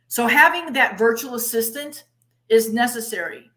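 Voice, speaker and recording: A woman with a plain, everyday voice, fairly high in pitch, at a moderate pace with ordinary pitch variation. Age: 60s. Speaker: conference MC and interviewer. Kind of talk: interview.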